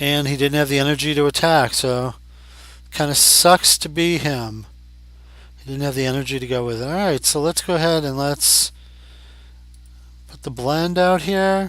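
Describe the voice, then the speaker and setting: Against noticeable background noise, a man with a fairly high pitch speaks at a moderate pace with ordinary pitch variation and long, frequent pauses. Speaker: Pokémon card game commentator. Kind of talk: casual gameplay commentary. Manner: conversational, thinking aloud.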